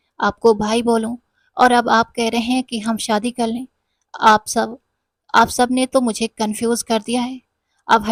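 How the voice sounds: Against a quiet background, the voice reads in a natural way.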